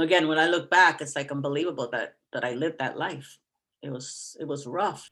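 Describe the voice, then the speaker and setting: This woman's pitch is very deep and low, and her tone is bright and sharp. She speaks at a fairly quick pace with fairly even intonation. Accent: New York. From New York City (Bronx). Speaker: retired teacher. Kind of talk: personal testimony in interview.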